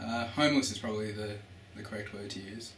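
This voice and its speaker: Over noticeable background noise and audible room echo, a man with an Australian accent talks at a fairly quick pace and a fairly low pitch. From Australia, Melbourne. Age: 20s. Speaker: student. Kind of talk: interview answers.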